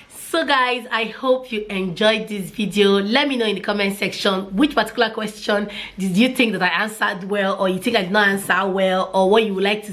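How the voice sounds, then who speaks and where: Noticeable background noise is present. A woman speaks over it at a fairly quick pace. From Nigeria, Port Harcourt. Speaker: mommy vlogger. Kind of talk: casual vlog talk.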